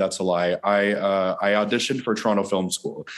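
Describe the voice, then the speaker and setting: At a fairly quick pace, a man with an unremarkable speaking voice talks at a fairly low pitch. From Newfoundland, Canada. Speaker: filmmaker and actor. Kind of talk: interview. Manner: frequent laughter and fillers.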